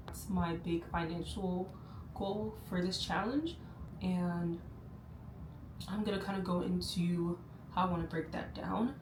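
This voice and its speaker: A woman with an American accent speaks at a fairly low pitch and a fairly slow pace with fairly even intonation and long, frequent pauses, amid noticeable background noise and audible room echo. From United States. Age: 20s. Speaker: lifestyle vlogger. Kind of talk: casual vlog monologue. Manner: speaks low; hesitant, many fillers.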